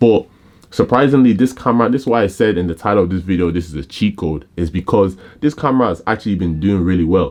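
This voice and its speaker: This man talks at a very fast pace in a fairly low pitch. His intonation is lively. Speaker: photographer and camera reviewer. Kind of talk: casual video review. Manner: casual, filler-heavy.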